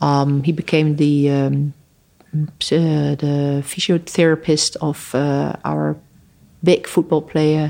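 The speaker talks at a very slow pace with a Dutch accent. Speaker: human rights lawyer. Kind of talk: interview conversation. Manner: halting.

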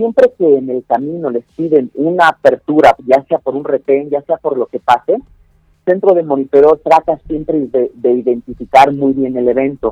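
Dry, close sound without echo carrying a man's dark, mellow tone. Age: 20s. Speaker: security tech company director. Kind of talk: interview. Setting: phone call.

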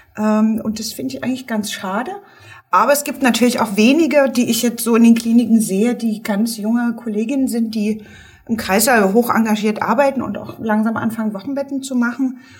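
The pace is fairly quick and the intonation fairly even. Noticeable background noise runs underneath. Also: woman, fairly high pitch for a woman. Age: 50s. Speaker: midwife. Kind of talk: casual chat.

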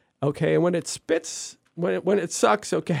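A man with a normal speaking voice talks at a fairly quick pace and a fairly high pitch. The recording is very clean, with a silent background. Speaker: environmental activist. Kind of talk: interview.

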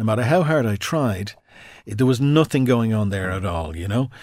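A man with an Irish accent talks at a very fast pace with lively intonation and a medium pitch, on a very clean recording with a silent background. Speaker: radio presenter and stroke survivor. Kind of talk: interview telling personal story. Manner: halting.

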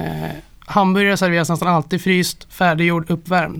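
Speaking at a very fast pace, a man with a high pitch keeps a monotone, flat intonation. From Gävle, Sweden. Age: 30s. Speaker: restaurant owner. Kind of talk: casual interview. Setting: studio.

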